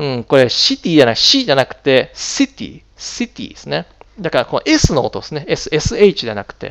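A man talks at a moderate pace, his loudness swinging widely. The background is quiet. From Japan. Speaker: English pronunciation teacher. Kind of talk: tutorial. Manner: hesitant, many fillers. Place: home room. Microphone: headset.

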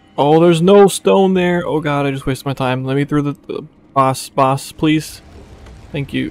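A man speaks in a plain, everyday voice with a fairly high pitch. His pitch variation is ordinary and his pace moderate. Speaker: video game streamer. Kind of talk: casual gaming stream chat. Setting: voice chat with friends while streaming.

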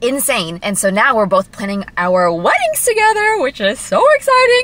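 The woman's voice comes across dry, with no echo. She speaks at a fairly quick pace. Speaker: lifestyle vlogger. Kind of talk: casual vlog chat. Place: car. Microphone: phone near.

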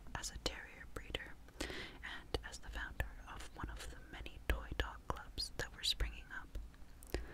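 A woman whispering. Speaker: ASMR narrator. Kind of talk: ASMR history reading. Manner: whispered, soft-spoken. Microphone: studio mic.

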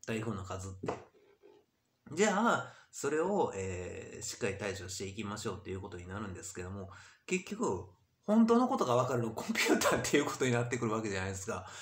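A man talks at a very fast pace with a fairly low pitch and a somewhat breathy voice, his loudness swinging widely. Room echo is audible. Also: ordinary pitch variation. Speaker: YouTuber. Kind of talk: monologue vlog. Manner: rambling, many fillers. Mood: frustrated, complaining. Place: home room. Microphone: webcam.

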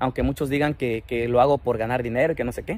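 Speaking at a very fast pace with vocal fry and ordinary pitch variation, a man comes through a dry sound with no echo over light background noise. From Mexico. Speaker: social media personality; comedy social media creator. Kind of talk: casual vlog talk; casual vlog chat. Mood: joking, boastful.

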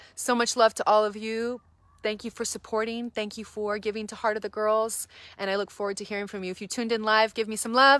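A woman's bright, sharp voice at a fairly high pitch and very fast pace, dry with no echo, over a quiet background. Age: 30s. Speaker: reverend and nonprofit church director. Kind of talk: live-stream fundraising appeal. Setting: live social media video. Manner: animated. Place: garden. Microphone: phone near.

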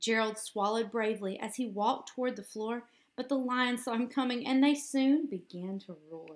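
A woman speaks at a moderate pace. Her pitch is fairly high, with ordinary pitch variation.

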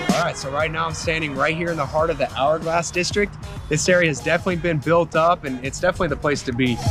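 A man talks at a very fast pace with fairly even intonation. The sound is dry with no echo, and music plays clearly in the background. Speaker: local neighborhood tour host. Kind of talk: casual vlog tour commentary. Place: street. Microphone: phone near.

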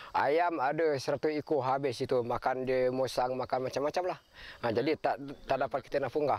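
The delivery moves at a moderate pace with very even loudness and fairly even intonation, the sound dry with no echo. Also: man. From Malaysia. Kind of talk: documentary interview testimony. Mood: aggrieved, complaining. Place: open country. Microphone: camera far.

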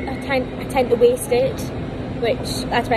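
The speaker keeps a moderate pace. Loud noise fills the background. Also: woman. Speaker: vlogger. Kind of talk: casual vlog chat. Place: station. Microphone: phone near.

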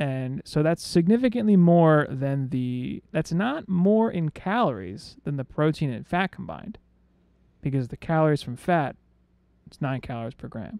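A man speaks at a moderate pace with very wide pitch swings and a dark, mellow tone, the sound dry with no echo over a quiet background. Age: 30s. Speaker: podcast co-host. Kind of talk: casual chat. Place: home room. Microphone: studio mic.

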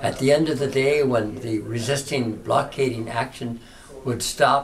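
With ordinary pitch variation and a moderate pace, the speech unfolds against background music. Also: man. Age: 80s+. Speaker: Jesuit priest. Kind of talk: interview answer. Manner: passionate. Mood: passionate, warm, reflective. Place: home room. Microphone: camera far.

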